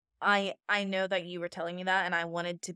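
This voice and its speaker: In a very clean recording with a silent background and a dry, close sound with no echo, a woman with a Pennsylvania accent and fairly low pitch speaks at a very fast pace with monotone, flat intonation. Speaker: podcast co-host. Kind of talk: casual chat.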